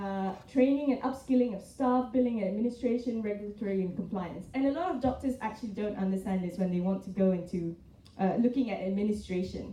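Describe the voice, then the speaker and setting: Talking at a very fast pace, a woman with a medium pitch and ordinary pitch variation comes through over noticeable background noise and audible room echo. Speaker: hospital executive. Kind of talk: panel presentation.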